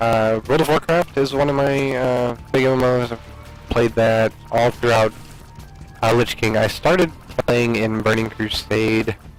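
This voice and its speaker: Fairly slow speech from a man at medium pitch, with ordinary pitch variation and music in the background. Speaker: gaming commentator; military veteran. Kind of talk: casual gameplay commentary. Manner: loud.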